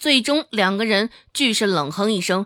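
Pitch varies by an ordinary amount here. The reading voice is unforced.

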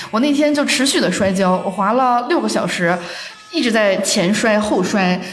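A woman's fairly high, lively voice at a moderate pace and very even loudness, with audible room echo and noticeable background noise. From Northeast China. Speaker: office worker. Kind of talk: casual chat.

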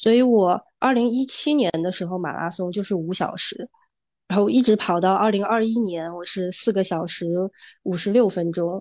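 This woman has a normal speaking voice at a medium pitch with ordinary pitch variation. She talks at a moderate pace against a quiet background. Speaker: amateur runner. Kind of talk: casual chat. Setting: video call.

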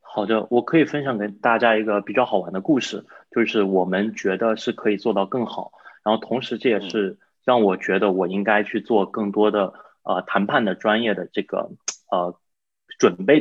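Fairly low-pitched man with an ordinary speaking voice. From China. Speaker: real estate investor. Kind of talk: interview.

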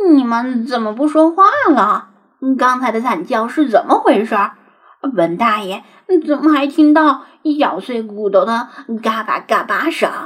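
A woman puts on a character voice, high-pitched and shaky, speaking at a moderate pace with long, frequent pauses. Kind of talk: brash, self-important. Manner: trembling, fearful.

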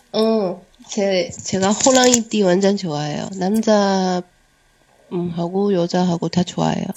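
A woman at a medium pitch, speaking at a very slow pace. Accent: Chinese.

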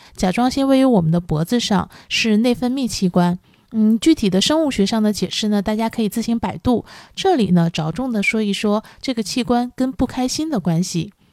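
A woman with a normal speaking voice, fairly high pitch and lively intonation at a moderate pace, in a very clean, dry, close recording with a silent background and no echo. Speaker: podcast host. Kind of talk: solo podcast talk on wellbeing. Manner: calm, with frequent fillers.

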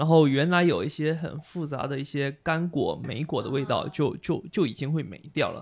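A man's fairly high voice at a moderate pace, fairly even in intonation, on a very clean recording with a silent background. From Xiamen, China. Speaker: brewer and beer judge. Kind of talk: casual chat.

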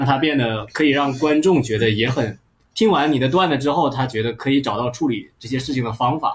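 A man with a medium pitch and a somewhat breathy voice talks at a fairly quick pace. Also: ordinary pitch variation. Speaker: podcast host, stand-up comedian. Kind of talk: casual chat. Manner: animated.

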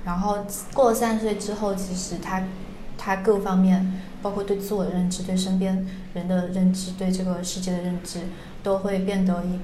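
Amid noticeable background noise and audible room echo, a woman speaks at a moderate pace with a medium pitch and monotone, flat intonation. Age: 20s. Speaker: podcast host. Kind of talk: casual chat.

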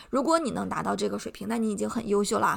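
A woman talks at a fairly high pitch with vocal fry. The recording is very clean, and the background is silent. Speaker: podcast host, English teacher. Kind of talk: educational monologue.

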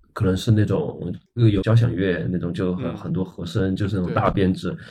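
The voice has a dark, mellow tone and sounds somewhat breathy. It moves at a fairly quick pace with lively intonation. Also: man. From small Chinese city. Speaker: rock band guitarist. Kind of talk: casual chat.

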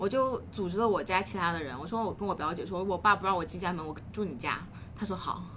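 Very fast female speech over noticeable background noise. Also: medium pitch for a woman, ordinary pitch variation. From China, Hunan (Xiangtan). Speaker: life coach. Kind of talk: casual interview chat.

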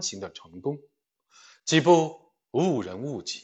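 Speaking at a very slow pace, a man uses a fairly high pitch and lively intonation. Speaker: livestream book reader. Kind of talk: reading aloud. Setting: livestream.

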